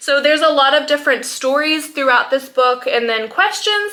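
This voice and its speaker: A woman speaks in a raised, projected voice with a high pitch and lively intonation. Noticeable background noise runs behind her. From French Polynesia (Tahiti). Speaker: homeschooling mom and naturopath vlogger. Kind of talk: casual vlog talk to camera. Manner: hesitant, many fillers.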